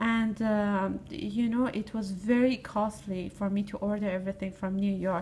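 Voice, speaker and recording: This woman's voice sits at a medium pitch with a dark, mellow tone. It is somewhat breathy, and her intonation stays fairly even. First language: not English. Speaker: fashion student. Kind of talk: recorded monologue. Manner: halting.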